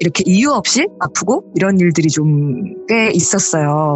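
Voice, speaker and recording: Very slow speech over music in the background. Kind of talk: conversational.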